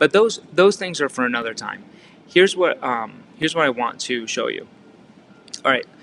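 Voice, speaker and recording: Over noticeable background noise, a man with an American accent talks at a moderate pace with ordinary pitch variation. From Massachusetts, Fall River. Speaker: real estate coach. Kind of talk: training talk. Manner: casual, filler-heavy with repetitions.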